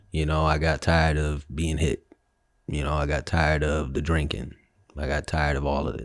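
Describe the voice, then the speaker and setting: Vocal fry marks this man's very deep, low, monotone, flat voice, captured in a very clean recording with a silent background. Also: moderate pace. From Chicago and Philadelphia, US. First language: Spanish. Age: 30s. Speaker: guest sharing life story. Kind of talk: casual interview conversation.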